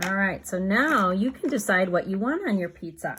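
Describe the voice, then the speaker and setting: On a very clean recording with a silent background, a somewhat breathy voice with a gentle tone moves through lively intonation. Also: woman. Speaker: children's art teacher. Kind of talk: tutorial for young children. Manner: gentle, encouraging.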